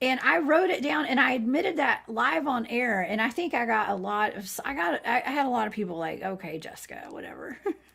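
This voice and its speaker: A woman's high voice in a southern Georgia accent, with very wide pitch swings, a fairly quick pace and hardly any pauses. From US South, Georgia. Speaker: remote viewer, livestream guest. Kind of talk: casual chat.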